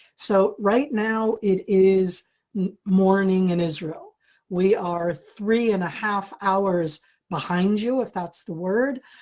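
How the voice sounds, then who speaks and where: Very slowly, a woman with an American accent speaks at a medium pitch with ordinary pitch variation. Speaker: security analyst. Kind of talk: lecture. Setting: video call. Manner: deliberately slowed, clear.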